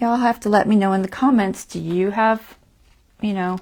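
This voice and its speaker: A woman speaks with fairly even intonation. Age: 60s. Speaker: craft tutorial host. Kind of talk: live craft tutorial. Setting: home live stream. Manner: casual, chatty.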